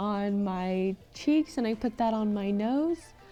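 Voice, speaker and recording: With music playing in the background, a woman speaks at a fairly high pitch. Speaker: makeup tutorial creator. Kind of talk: tutorial voice-over.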